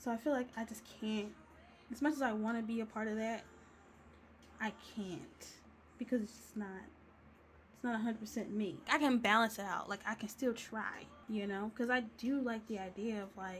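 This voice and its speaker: Speaking at a moderate pace, a woman sounds somewhat breathy, her pitch fairly high. She leaves long, frequent pauses. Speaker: digital artist and video creator. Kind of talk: casual chat while coloring. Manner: animated; casual, rambling chat.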